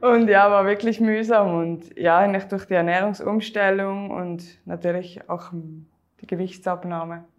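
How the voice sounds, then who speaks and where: A woman with a Swiss German accent talks at a fairly slow pace. Her medium pitch stays monotone and flat. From Switzerland. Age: 30s. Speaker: weight-loss coaching client. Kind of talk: interview testimony.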